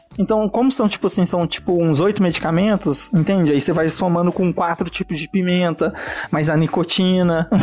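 A man speaks at a moderate speed in a high voice whose pitch varies in an ordinary way, with noticeable noise behind him. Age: 20s. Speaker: chef. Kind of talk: casual chat.

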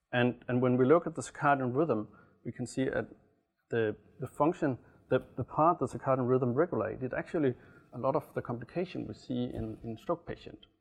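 At a fairly quick pace, a man speaks in an ordinary speaking voice of medium pitch. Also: ordinary pitch variation. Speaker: medical researcher. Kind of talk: interview explaining research.

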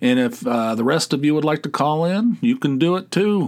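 Pitch swings very widely as a man talks with an American accent. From West Virginia. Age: 60s. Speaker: podcast host. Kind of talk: casual monologue. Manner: rambling, halting.

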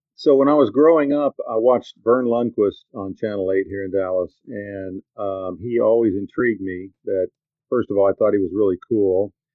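In an American accent, a man with an unremarkable speaking voice talks at a moderate pace, his fairly low pitch showing ordinary variation. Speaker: sports broadcaster. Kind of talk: casual podcast interview. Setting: video call.

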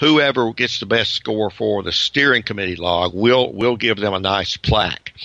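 With a Southern US accent, a man speaks at a moderate pace and a fairly low pitch, with ordinary pitch variation and noticeable background noise. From US South, Georgia. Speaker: retired professor, ham radio operator. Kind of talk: interview.

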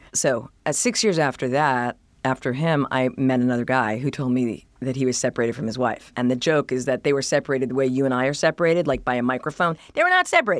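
A very deep, low-pitched woman with an American accent, at a very fast pace with hardly any pauses and fairly even intonation, on a very clean recording with a silent background. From Boston suburbs, US. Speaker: journalist and author. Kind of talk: casual interview chat.

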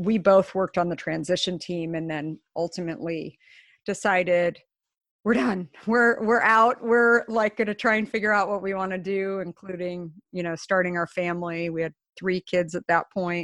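A normal speaking voice talks at a moderate pace against a quiet background. The sound is dry and close, with no echo. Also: woman. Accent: General American. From US Southwest, Scottsdale, Arizona. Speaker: company founder and CEO. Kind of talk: interview.

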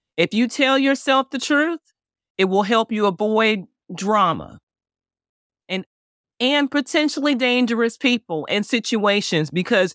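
A woman with a slight Southern US accent talks at a fairly slow pace with lively intonation. The sound is dry and close with no echo, on a very clean recording with a silent background. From Chicago, US Midwest. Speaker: divorce coach. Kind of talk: interview.

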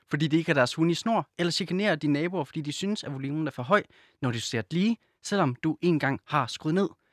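A man's normal speaking voice, fairly high in pitch and fairly quick, with ordinary pitch variation, a dry, close sound with no echo, and a very clean recording over a silent background. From Silkeborg, Jutland. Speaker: podcast co-host. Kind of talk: casual chat; reading aloud.

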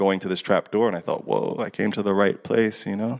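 A man with an American accent and an unremarkable speaking voice, fairly low in pitch, at a fairly quick pace, in a dry, close sound with no echo and a quiet background. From USA. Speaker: experimental filmmaker. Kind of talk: Q&A talk after screening.

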